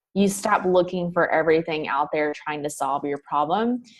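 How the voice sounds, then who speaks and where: A woman talks with a Southern US accent. Her pitch sits fairly low. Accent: Southern US accent, noticeable. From US South. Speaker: mindset coach. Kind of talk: podcast interview. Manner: casual, many fillers.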